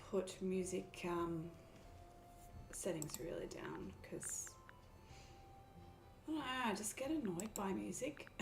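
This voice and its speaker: With an Australian accent, a woman talks at a fairly slow pace and medium pitch, with music in the background and audible room echo. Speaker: gaming streamer. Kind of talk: let's play commentary. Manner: casual.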